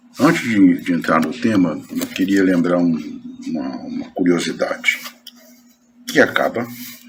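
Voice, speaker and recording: A man's fairly slow speech with long, frequent pauses and audible room echo. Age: 70s. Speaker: spiritist lecturer. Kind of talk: lecture. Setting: spiritist center meeting. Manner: halting.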